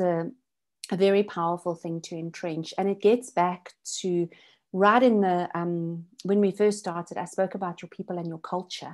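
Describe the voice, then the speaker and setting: A woman's medium-pitched, unremarkable speaking voice with fairly even intonation over a quiet background. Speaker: business consultant. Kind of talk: online masterclass presentation.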